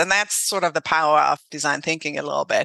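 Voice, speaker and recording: A woman with a German accent, bright, sharp tone and ordinary pitch variation against a quiet background. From Germany. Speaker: HR consultant and founder. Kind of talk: casual interview conversation.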